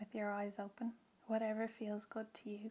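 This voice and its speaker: Soft-spoken and gentle in tone, a woman with an Irish accent talks at a fairly high pitch in a somewhat breathy voice with a dark, mellow tone. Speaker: reiki practitioner. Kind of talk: guided ASMR reiki session. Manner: slow, gentle.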